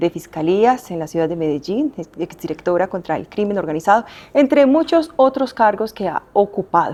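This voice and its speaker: A woman's medium-pitched voice moves in very wide pitch swings at a fairly quick pace. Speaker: interviewer. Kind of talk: interview introduction.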